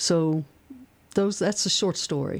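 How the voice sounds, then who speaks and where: A woman with a Kentucky accent speaks at a moderate pace. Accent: Kentucky Southern US. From central Kentucky, rural. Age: 60s. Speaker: activist. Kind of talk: radio interview. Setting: radio studio.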